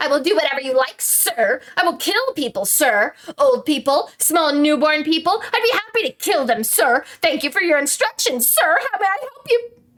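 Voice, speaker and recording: Using a put-on character voice, a woman talks fairly quickly at a high pitch with very wide pitch swings and very even loudness. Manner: cruel, sarcastic, mocking.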